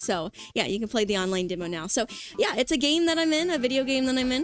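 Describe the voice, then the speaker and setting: With music in the background, a woman speaks in a high pitch with an animated tone. Her pitch swings very widely, and her pace is fairly quick. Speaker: vtuber streamer. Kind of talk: casual livestream chat. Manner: fast.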